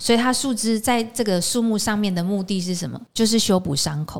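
The speaker is a woman with a medium pitch. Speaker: podcast host, aromatherapy teacher. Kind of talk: casual interview chat. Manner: animated, laughing often.

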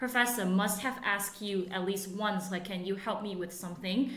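A woman's intonation stays fairly even while noticeable background noise sounds behind her. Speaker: international university student. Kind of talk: casual chat.

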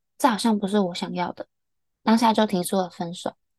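Dry and close with no echo, a woman's fairly high voice moves at a fairly quick pace. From Taiwan. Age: 20s. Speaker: podcast co-host, mechanical engineer. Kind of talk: casual chat.

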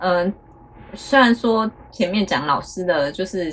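Lively in intonation, a woman speaks at medium pitch over noticeable background noise. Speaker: podcast co-host, teacher's wife. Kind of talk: casual chat.

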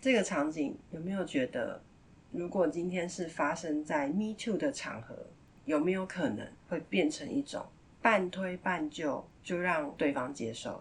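Her voice sits fairly low for a woman yet swings very widely in pitch as she speaks at a fairly slow pace. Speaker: parenting podcast host. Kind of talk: casual monologue.

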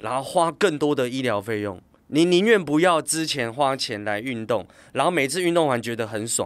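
A man with a normal speaking voice talks at a moderate pace in a fairly high pitch, his intonation lively, on a very clean recording with a silent background. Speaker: fitness company CEO and former coach. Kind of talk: casual interview.

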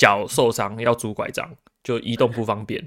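In a very clean recording with a silent background, a man with a medium-pitched voice talks at a moderate pace. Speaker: researcher in Japan. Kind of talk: casual chat.

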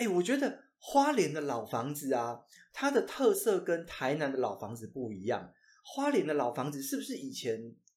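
A man talks at a moderate pace with a Taiwanese accent. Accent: Taiwanese Mandarin. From Taiwan, Changhua. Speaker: podcast co-host. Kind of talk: casual chat. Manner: animated.

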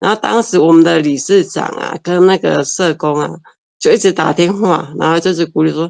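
A woman with a fairly low pitch and ordinary pitch variation talks at a moderate pace. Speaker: mouth painter and art teacher. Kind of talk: interview. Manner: halting.

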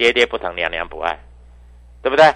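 A man's bright, sharp tone, with a dry, close sound and no echo. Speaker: stock market analyst. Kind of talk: market commentary and sales pitch. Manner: animated.

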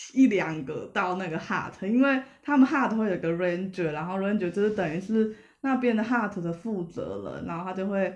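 Speech comes at a moderate pace, accompanied by noticeable background noise. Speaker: podcast guest, hiker. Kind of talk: casual chat. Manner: peculiar way of speaking.

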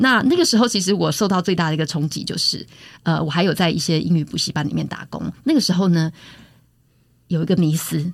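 Speaking at a fairly quick pace, a woman uses a fairly low pitch with vocal fry and ordinary pitch variation. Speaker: university English lecturer. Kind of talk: interview.

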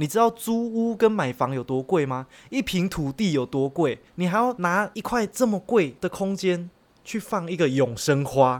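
In a very clean recording with a silent background, a man talks at a moderate pace with high pitch and very wide pitch swings. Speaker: podcast co-host. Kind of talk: casual chat.

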